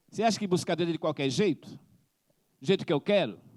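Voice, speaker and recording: The intonation of this man's voice is lively. The recording is very clean and dry, with a silent background, a close sound and no echo. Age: 60s. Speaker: missionary preacher. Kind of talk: sermon.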